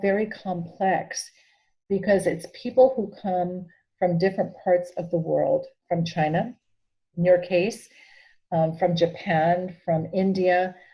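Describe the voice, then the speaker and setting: A woman with an American accent talks at a very slow pace. Her medium-pitched voice is somewhat breathy, with a dark, mellow tone. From Peru and New Mexico. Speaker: bishop. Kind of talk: interview.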